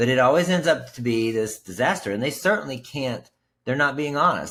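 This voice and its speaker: In an American accent, a man with a plain, everyday voice speaks at a medium pitch with lively intonation. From West Virginia. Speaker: podcast host and sobriety coach. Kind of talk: podcast interview.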